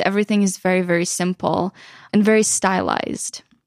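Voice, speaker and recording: At a medium pitch and moderate pace, a woman speaks in a monotone, flat way, the sound dry and close with no echo in a very clean recording with a silent background. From western Ukraine. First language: Ukrainian. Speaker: photographer and YouTuber. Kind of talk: casual interview. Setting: studio.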